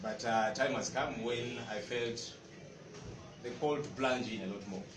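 Noticeable background noise fills the clip. Through it, a man's voice is heard. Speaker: former news anchor, political spokesperson. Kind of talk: press conference speech. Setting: stage with audience.

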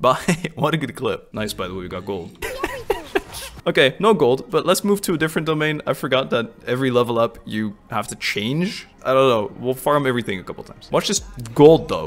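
Over noticeable background noise, a man at medium pitch speaks with very wide pitch swings and big swings in loudness. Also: fairly quick pace. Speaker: gaming streamer. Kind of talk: casual gameplay commentary. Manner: stumbling, mispronouncing words.

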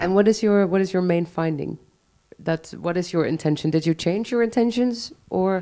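A woman's voice has a dark, mellow tone and ordinary pitch variation. The background is quiet. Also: moderate pace. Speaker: event host and moderator; event host, moderator. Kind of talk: moderated public talk. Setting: live event with audience. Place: hall. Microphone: handheld.

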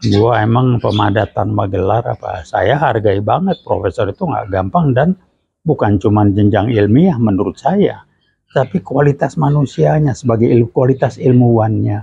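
At a moderate pace, a man speaks at medium pitch with lively intonation and vocal fry. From Indonesia. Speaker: retired lecturer and management practitioner; retired lecturer. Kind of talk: direct-to-camera clarification statement. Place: home room.

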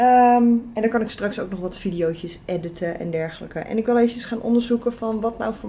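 A woman speaks in a fairly high pitch with a somewhat breathy voice. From Netherlands. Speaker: vlogger. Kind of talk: casual vlog talk to camera. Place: home room.

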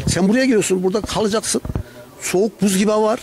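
A very fast-paced man's voice. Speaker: local resident; interviewee. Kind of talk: street interview. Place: street. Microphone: handheld.

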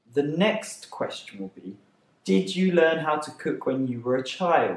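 A man with a British accent speaks at a fairly slow pace and a fairly high pitch. His pitch swings very widely, and the room echo is audible. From England. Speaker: English teacher. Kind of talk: teaching talk to camera. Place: home room.

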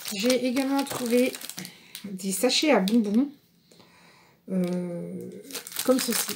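Light background noise beneath a woman's speech, its pitch varying in an ordinary way. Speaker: craft vlogger. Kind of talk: casual haul vlog chat. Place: home room. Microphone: phone near.

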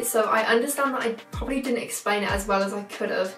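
Over clear background music and an audible room echo, a woman talks at a very fast pace. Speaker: vlogger. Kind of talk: casual vlog chat. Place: home room.

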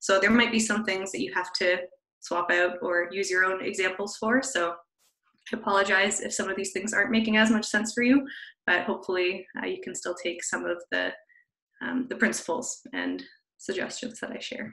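A woman with a Canadian accent speaks in a bright, sharp tone with vocal fry and ordinary pitch variation. The background is quiet. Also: moderate pace. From Canada. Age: 20s. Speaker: social media content creator. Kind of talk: webinar presentation. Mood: friendly, relaxed. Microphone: video call.

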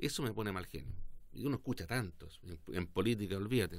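Talking at a fairly quick clip, a man with fairly low pitch shows ordinary pitch variation. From southern Chile, Osorno; southern Chile. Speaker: politician. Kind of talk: interview. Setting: studio. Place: studio. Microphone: studio mic.

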